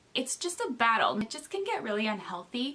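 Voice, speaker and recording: A woman with an American accent talks at a fairly quick pace in a fairly high voice, with noticeable background noise behind her. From Minnesota. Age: 30s. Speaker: book vlogger. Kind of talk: casual vlog talk to camera. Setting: home, camera set up. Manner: hesitant, many filler words.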